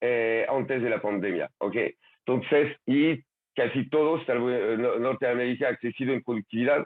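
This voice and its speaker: A man with a French accent and ordinary pitch variation. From France. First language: French (speaking Spanish). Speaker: conference speaker on labor and education trends. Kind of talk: virtual conference talk with slides. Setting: online video session. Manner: halting, many fillers and repetitions.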